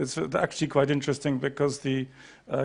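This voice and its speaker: Against a quiet background, a man with a fairly high pitch talks at a fairly quick pace in a monotone, flat intonation. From Great Britain. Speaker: panel moderator. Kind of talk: conference panel moderation.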